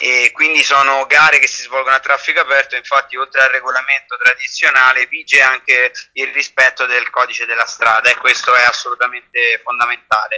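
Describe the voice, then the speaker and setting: A man at a fairly quick pace, with hardly any pauses. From Italy, Rome. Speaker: ultra-distance cyclist and author. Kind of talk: interview.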